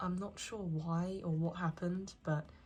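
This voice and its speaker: Fairly low, monotone, flat speech from a woman at a fairly slow pace, with music in the background. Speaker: anime merchandise collector and haul reviewer. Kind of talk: casual talk to camera.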